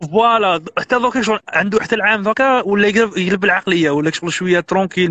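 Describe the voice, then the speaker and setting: A man at a very fast pace, dry sound with no echo. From Algeria. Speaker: immigrant sharing advice; guest. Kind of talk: casual interview. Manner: animated.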